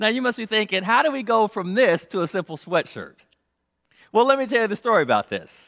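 A man with an American accent speaks at a fairly quick pace and a high pitch with ordinary pitch variation, the sound dry and close with no echo in a very clean recording with a silent background. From US West Coast, South Central Los Angeles. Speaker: pastor. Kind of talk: sermon.

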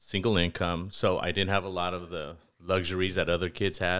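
American accent from a man with a very deep, low pitch, at a fairly quick pace, in a very clean recording with a silent background. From East Los Angeles. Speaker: financial and insurance advisor. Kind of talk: interview.

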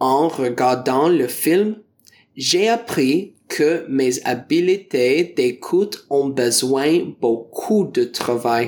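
Speaking very slowly with an English accent, a man uses a fairly high pitch, lively intonation and very even loudness. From Ontario, Canada. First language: English (speaking French). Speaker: teacher and French learner. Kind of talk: prepared talk for learners. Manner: careful learner pace.

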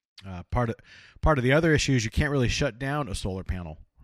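Recorded very cleanly with a silent background, a man speaks in an American accent with ordinary pitch variation. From Los Angeles, California. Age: 30s. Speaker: political podcast host. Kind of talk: casual political discussion.

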